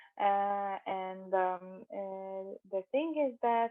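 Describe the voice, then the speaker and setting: The woman speaking has a medium pitch. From Lithuania, Šiauliai. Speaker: international relations head at a university. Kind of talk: interview. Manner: halting, many fillers.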